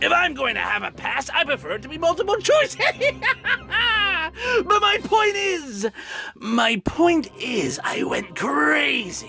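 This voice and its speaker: Fairly slow, put-on character voice from a man, set against clear background music. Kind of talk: dramatic villain monologue. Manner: taunting, manic.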